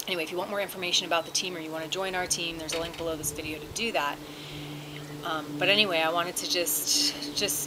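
Noticeable background noise sits behind a woman talking at a very fast pace. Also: ordinary pitch variation. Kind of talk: casual vlog chat. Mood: excited, emotional. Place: garden. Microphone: phone near.

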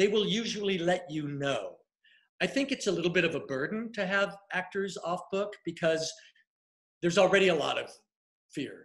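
A man with an American accent talks at a high pitch and a moderate pace, with ordinary pitch variation. Long, frequent pauses break up his speech over a quiet background. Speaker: casting director and acting coach; acting coach. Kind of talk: live Q&A interview. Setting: livestream video. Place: home room. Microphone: webcam.

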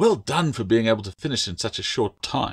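In a very clean recording with a silent background, a man puts on a character voice at fairly low pitch, with lively intonation, vocal fry, a slightly husky edge and a moderate pace.

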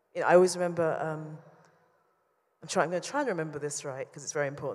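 The voice has a London accent and fairly even intonation. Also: woman. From London, England. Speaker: painter; interviewee. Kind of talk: public talk; interview answer. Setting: stage with audience. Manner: halting. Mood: thoughtful, warm, smiling. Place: hall. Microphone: handheld.

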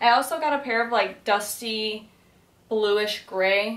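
A woman's fairly high-pitched voice, with audible room echo. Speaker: lifestyle vlogger. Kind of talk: casual vlog. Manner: rambling, filler-heavy. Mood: playful, upbeat. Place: home room.

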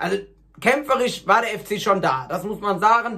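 Here a man speaks with a high pitch and a bright, sharp tone. His pace is moderate, and his pitch variation is ordinary.

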